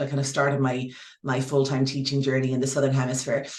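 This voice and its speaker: There is audible room echo around a woman with an Irish accent. Her pitch is very deep and low. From Ireland. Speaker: yoga teacher. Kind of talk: interview. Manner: halting.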